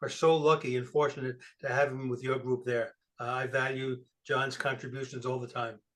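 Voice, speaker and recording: A fairly quick pace from a man in an American accent. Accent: New York accent, noticed by people in Arizona. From New York City. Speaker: guest speaker at a computer club. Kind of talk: presentation. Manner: casual, with frequent fillers.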